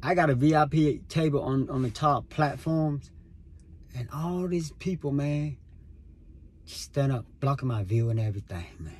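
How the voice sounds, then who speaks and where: At a moderate pace, a man with a fairly high pitch speaks in a somewhat breathy way, using ordinary pitch variation. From Vietnam. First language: Vietnamese. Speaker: podcaster. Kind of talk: casual monologue. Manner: casual, filler-heavy.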